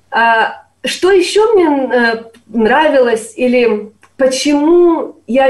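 The voice is a woman's, pitched high. She speaks with lively intonation. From eastern Ukraine, Sloviansk. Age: 30s. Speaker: university lecturer. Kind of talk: interview.

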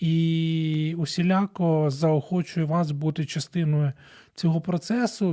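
This man has a dark, mellow tone and a fairly high pitch. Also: very clean recording, silent background. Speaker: radio host, family counselor. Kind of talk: radio monologue on family issues.

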